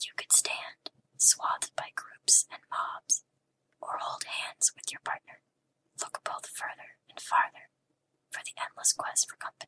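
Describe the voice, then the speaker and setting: The voice is a whisper, delivered at a fairly slow pace. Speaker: ASMR artist. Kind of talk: poetry reading. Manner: whispered; soft-spoken, relaxing.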